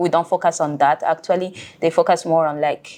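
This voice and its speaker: A woman's fairly low voice with a Burundian accent, monotone and flat in intonation. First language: Kirundi. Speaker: scholarship student living abroad. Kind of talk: interview conversation. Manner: hesitant, many fillers.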